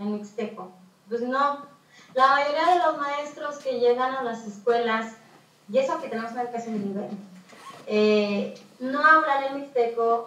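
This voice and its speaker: At a fairly slow pace and in a high voice, a woman speaks with long, frequent pauses and big swings in loudness, amid noticeable background noise and audible room echo. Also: ordinary pitch variation. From Mixteca region, Oaxaca, Mexico. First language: Mixtec (speaking Spanish). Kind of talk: talk.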